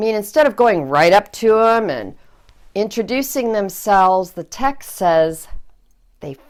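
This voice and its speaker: A woman's fairly high voice with an American accent, at a fairly slow pace, in a very clean recording with a silent background. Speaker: Lutheran pastor. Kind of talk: sermon preaching. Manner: conversational, lightly humorous.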